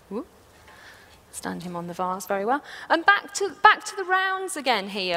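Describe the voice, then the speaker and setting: Her voice is raised and projected, with an enthusiastic tone and very wide pitch swings. The woman speaks at a moderate pace. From England. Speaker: floral designer. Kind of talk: live demonstration talk to audience. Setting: stage, live audience. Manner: enthusiastic, chatty.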